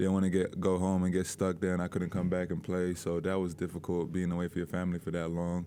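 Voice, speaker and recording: A very deep, low male voice, dark and mellow in tone. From London, England. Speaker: college basketball player. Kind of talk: press interview. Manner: casual, hesitant with fillers.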